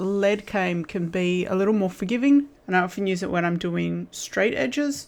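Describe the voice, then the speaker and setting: A woman with an Australian accent speaks at a moderate pace with hardly any pauses. Her medium-pitched voice has lively intonation and a relaxed tone. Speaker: stained glass crafter. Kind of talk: tutorial. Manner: casual with fillers.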